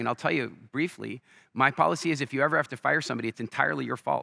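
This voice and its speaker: Very fast and lively, a man with an American accent speaks at medium pitch with vocal fry and a bright, sharp tone. The sound is dry and close with no echo, on a very clean recording with a silent background. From Canada. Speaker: entrepreneur and business speaker. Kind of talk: stage interview with storytelling. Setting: stage with live audience. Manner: animated.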